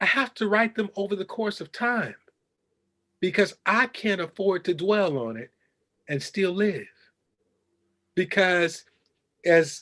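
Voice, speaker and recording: Against a quiet background, the speech moves at a fairly slow pace with long, frequent pauses, big swings in loudness and ordinary pitch variation. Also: man. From Chicago, West Side. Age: 60s. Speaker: journalist and professor. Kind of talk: interview. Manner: impassioned.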